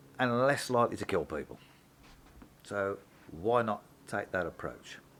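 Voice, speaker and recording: The man speaks at a moderate pace in a fairly low pitch. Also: ordinary pitch variation. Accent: Brummie. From Birmingham, England. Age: 60s. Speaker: mechanic and vlogger. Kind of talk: opinion vlog. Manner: casual, hesitant with fillers.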